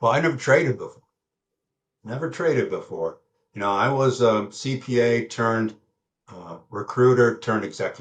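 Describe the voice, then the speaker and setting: Somewhat breathy, a man speaks at a medium pitch and moderate pace with ordinary pitch variation. His loudness swings widely, and he takes long, frequent pauses. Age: 70s. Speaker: retired accountant turned trader. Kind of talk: interview. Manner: halting, with fillers.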